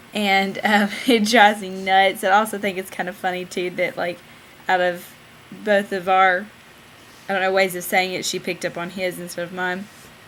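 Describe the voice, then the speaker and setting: A woman with a Southern US accent speaks at a moderate pace and medium pitch. Her intonation is monotone and flat, with long, frequent pauses. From Southern United States. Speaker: vlogging mom. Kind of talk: casual talk to camera.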